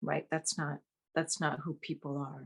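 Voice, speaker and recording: A woman speaks with a Vietnamese accent, her voice somewhat breathy. The sound is dry and close, with no echo. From Vietnam, Saigon. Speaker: actress. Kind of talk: interview. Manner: animated.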